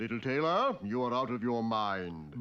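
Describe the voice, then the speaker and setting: A man puts on a cartoonish character voice. His pitch sits in the middle range, and he speaks at a moderate pace. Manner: mild, polite, slightly theatrical.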